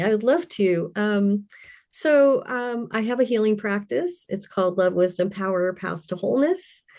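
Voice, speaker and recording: A woman with an American accent has a normal speaking voice at medium pitch with lively intonation. The background is quiet. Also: moderate pace. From Louisiana and Colorado. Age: 60s. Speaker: intuitive healer. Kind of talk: interview.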